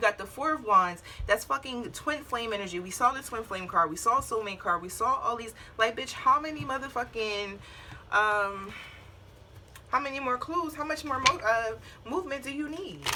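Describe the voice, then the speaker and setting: A woman with a high pitch talks at a moderate pace with lively intonation. Her loudness swings widely. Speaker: tarot reader. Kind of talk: tarot reading. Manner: blunt, casual with cursing.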